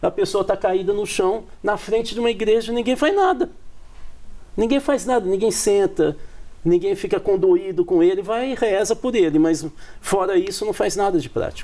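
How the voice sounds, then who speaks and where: Moderately paced, a man speaks in a high voice with a dark, mellow tone. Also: ordinary pitch variation. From Brazil, countryside. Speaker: political scientist. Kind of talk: TV panel discussion.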